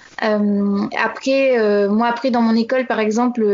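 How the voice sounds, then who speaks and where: Against noticeable background noise, a woman with a fairly high pitch speaks with fairly even intonation. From Normandy, France. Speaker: expatriate correspondent. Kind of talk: interview. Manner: halting.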